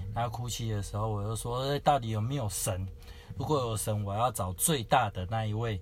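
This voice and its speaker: Somewhat breathy, a man speaks at a medium pitch and a fairly quick pace. His pitch variation is ordinary. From Taiwan, Kaohsiung. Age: young. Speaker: preacher, former Japanese-cuisine chef. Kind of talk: personal testimony interview.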